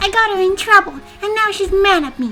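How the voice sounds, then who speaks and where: A put-on character voice over clear music in the background. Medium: virtual streamer.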